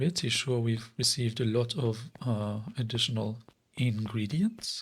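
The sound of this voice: The intonation holds fairly even. The reading voice is unforced.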